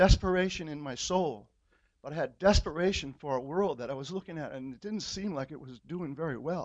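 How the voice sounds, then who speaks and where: Against a quiet background, a man speaks at a fairly quick pace with a high pitch. His pitch varies in an ordinary way while his loudness swings widely. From California. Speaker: church member. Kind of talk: testimony. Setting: church.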